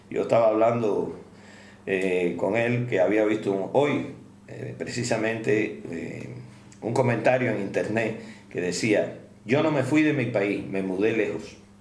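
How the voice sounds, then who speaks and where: Speaking at a fairly slow pace with audible room echo, a man uses a medium pitch and ordinary pitch variation. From Cuba. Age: 70s. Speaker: doctor. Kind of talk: interview.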